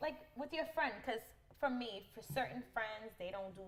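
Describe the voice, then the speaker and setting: A loud woman at a fairly quick pace, with very wide pitch swings. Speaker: podcast host. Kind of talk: casual chat. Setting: hair salon. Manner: animated.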